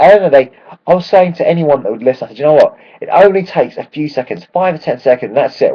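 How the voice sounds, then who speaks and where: A man talks very fast with a London accent. His tone is animated. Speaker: football fan vlogger. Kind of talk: casual video blog.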